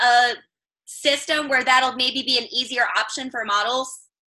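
Raising and projecting her voice, a woman with an American accent speaks at a fairly slow pace in a high pitch, her tone bright and sharp and her pitch variation ordinary. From Chicago. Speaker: adult content creator. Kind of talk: casual interview chat.

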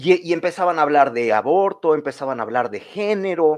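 Lively intonation runs through a man's speech, delivered at a moderate pace. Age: 30s. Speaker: political campaign coordinator. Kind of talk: casual interview. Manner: halting, many repetitions and fillers.

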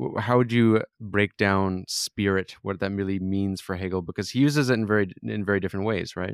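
In an unremarkable speaking voice, a man speaks at a moderate pace with a fairly low pitch and ordinary pitch variation, the sound dry and close on a very clean recording with a silent background. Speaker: podcast host. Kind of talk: interview discussion about philosophy.

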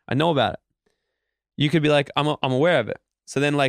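With an Australian accent, the man rattles along at a very fast pace. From Australia, Queensland. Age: 20s. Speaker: motivational speaker. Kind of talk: interview. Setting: studio. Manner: animated.

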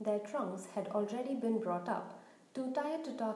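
The pitch varies in an ordinary way as this natural voice reads aloud.

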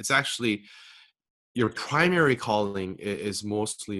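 With a Korean accent, a man speaks in a fairly low voice with a bright, sharp tone. His pitch varies in an ordinary way, and the background is quiet. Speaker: author and speaker. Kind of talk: interview.

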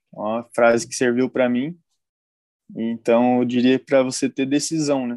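At a moderate pace, a man with a medium pitch speaks with fairly even intonation, the sound dry and close with no echo. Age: 20s. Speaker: dropshipping entrepreneur, mentoring student. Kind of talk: live-stream interview. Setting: live stream.

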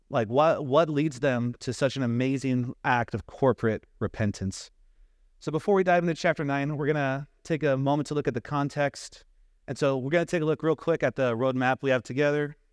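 A man talks at a fairly quick pace in a plain, everyday voice with a fairly high pitch and ordinary pitch variation. The sound is dry and close, with no echo. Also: quiet background. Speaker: preacher. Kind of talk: sermon. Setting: church.

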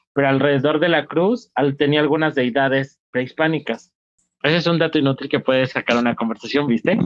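With a Mexican accent, a man talks fairly quickly in a fairly high voice with ordinary rises and falls in pitch. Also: very even loudness. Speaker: podcast co-host and stand-up comedian. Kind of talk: casual chat.

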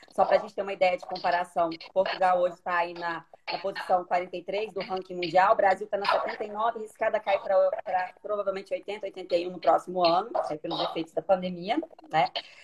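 Woman with a medium pitch, moderate pace and fairly even intonation, big swings in loudness, noticeable background noise. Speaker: live stream host, lawyer. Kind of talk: live stream interview.

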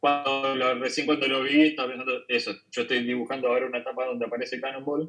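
A man's very fast delivery at medium pitch, bright and sharp in tone. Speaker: comic artist. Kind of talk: casual chat. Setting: video call. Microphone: remote call audio, poorer quality.

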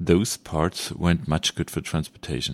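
A man speaks with a German accent at a moderate pace. The sound is dry and close with no echo, in a very clean recording with a silent background. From Germany. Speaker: audiobook narrator. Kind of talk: reading aloud.

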